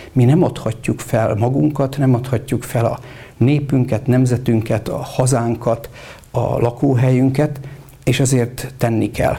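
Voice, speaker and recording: A man's mid-range voice, with fairly level intonation, is heard against noticeable background noise. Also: fairly slow pace. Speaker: Reformed Church bishop. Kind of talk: interview.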